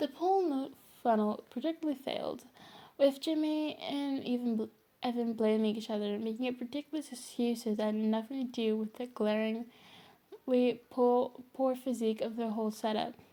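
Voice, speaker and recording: A soft-spoken woman with a high pitch and a dark, mellow tone talks at a moderate pace with ordinary pitch variation. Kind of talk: read story.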